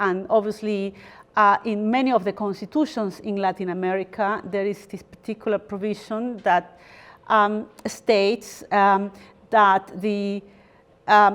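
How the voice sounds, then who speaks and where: A fairly slow woman's voice in a Spanish accent, with fairly even intonation. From Peru (Lima). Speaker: lawyer and guest lecturer. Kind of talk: lecture. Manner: hesitant, many fillers.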